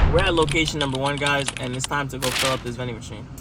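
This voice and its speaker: Noticeable noise sits in the background. The words come out very fast. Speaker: vending machine business owner vlogger. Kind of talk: casual vlog narration.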